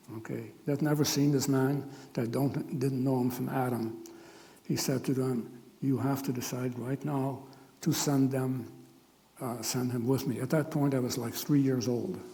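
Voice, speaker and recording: A man's medium-pitched voice in monotone, flat intonation at a moderate pace, with audible room echo. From Netherlands. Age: 80s+. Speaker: Holocaust survivor speaker. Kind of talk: testimony. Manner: halting.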